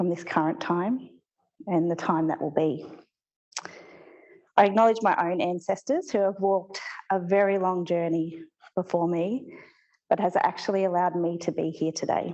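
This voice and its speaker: With a shaky voice at a fairly low pitch, a woman speaks at a moderate pace. She leaves long, frequent pauses, and her pitch varies in an ordinary way. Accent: Australian. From Australia. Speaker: postgraduate research student. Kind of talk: academic presentation.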